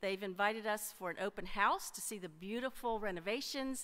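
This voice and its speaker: A woman is speaking with a bright, sharp tone. Her pitch varies in an ordinary way. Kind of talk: church announcements. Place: church. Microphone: podium.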